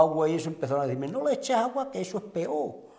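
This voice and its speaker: The background is quiet. A man is speaking. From Andalusia, Huelva (Sierra de Aracena); Andalusia. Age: 60s. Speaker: retired local resident, Red Cross volunteer; interviewee. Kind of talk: interview. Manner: halting. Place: home room.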